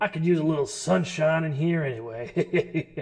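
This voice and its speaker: Fairly high-pitched, put-on character voice from a man. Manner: friendly, chatty.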